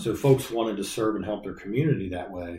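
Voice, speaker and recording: A man's fairly low, dark, mellow, somewhat breathy voice at a fairly quick pace, with ordinary pitch variation. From Colerain Township, Ohio (Cincinnati area), US Midwest. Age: 50s. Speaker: fire captain and department historian. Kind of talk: interview.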